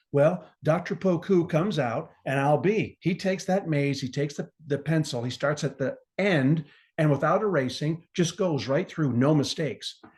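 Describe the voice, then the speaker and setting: A fairly high male voice in an animated tone, moderate pace, ordinary pitch variation, quiet background. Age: 60s. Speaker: gardener and pharmaceutical rep. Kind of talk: casual interview chat.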